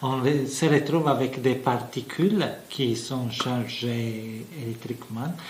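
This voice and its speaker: A man with a medium pitch speaks very slowly in an Italian accent, with audible room echo and noticeable background noise. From Italy. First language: Italian (speaking French). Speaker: physics professor. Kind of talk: interview explanation. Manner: halting, many fillers.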